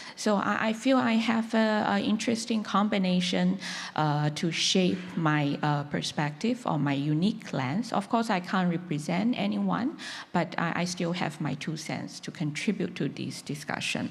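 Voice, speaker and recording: Amid audible room echo, a woman with a Chinese accent talks at a moderate pace in a fairly low voice with lively intonation. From China. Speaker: conference panelist on humanitarian work. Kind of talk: panel discussion talk. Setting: conference stage with audience. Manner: halting, many fillers.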